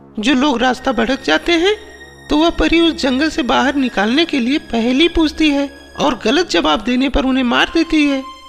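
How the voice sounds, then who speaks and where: A woman puts on a cartoonish character voice at a high pitch. Clear music plays in the background. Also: moderate pace. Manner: worried.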